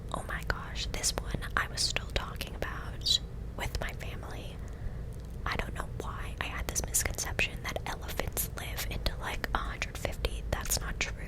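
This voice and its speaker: Someone whispers at a moderate pace with an American accent. Background noise is noticeable. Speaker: ASMR creator. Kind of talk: ASMR whispered gameplay commentary. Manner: whispering; close-up.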